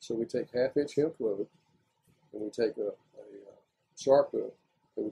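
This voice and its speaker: With a Southern US accent, a man talks at a moderate pace in a dry, close recording with no echo. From Florida. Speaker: retired lumber industry worker. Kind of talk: oral history interview answer.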